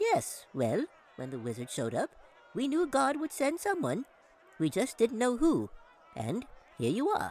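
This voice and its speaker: A squeaky put-on character voice from a man, at a moderate pace. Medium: read story. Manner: chatty, grandfatherly.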